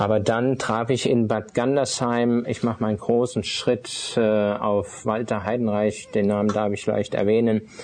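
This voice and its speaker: A man's medium-pitched voice, fairly slow and with hardly any pauses, monotone and flat, at very even loudness over noticeable background noise. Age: 50s. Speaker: itinerant minister, former art dealer. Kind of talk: personal testimony interview. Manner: hesitant, many filler sounds.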